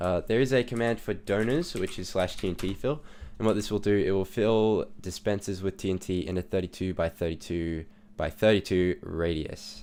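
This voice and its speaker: This man's voice sits fairly low, moving at a moderate pace with ordinary pitch variation. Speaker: Minecraft server owner and YouTuber. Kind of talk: gameplay tutorial. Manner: hesitant, many fillers.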